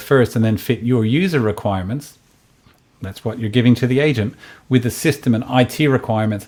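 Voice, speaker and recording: With ordinary pitch variation, this man rattles along at a very fast pace. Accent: Australian. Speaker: tech company founder. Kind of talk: product presentation. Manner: halting, many fillers.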